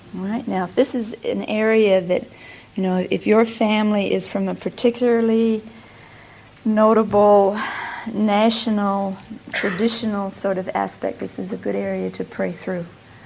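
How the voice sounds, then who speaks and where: Over noticeable background noise, a woman with an American accent speaks at a medium pitch and a moderate pace in a monotone, flat delivery. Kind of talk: teaching session.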